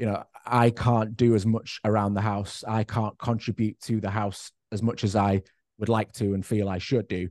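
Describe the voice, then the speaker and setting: Fairly low male voice in a northwest English accent, monotone and flat in intonation, dry and close with no echo over a quiet background. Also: moderate pace. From northwest England, Cheshire. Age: 30s. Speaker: person living with MS. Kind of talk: casual chat.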